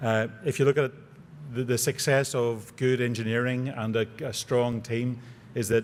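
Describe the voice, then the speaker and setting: Here a man speaks at medium pitch with a Northern Irish accent. His intonation stays flat and monotone. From Northern Ireland. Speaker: aerospace engineer, award recipient. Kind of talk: award acceptance speech.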